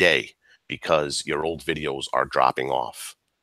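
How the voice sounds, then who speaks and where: In a very clean recording with a silent background, a man with vocal fry and a bright, sharp tone talks at a moderate pace, the sound dry and close with no echo. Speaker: outdoors YouTuber. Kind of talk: live stream chat. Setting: live stream. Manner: animated.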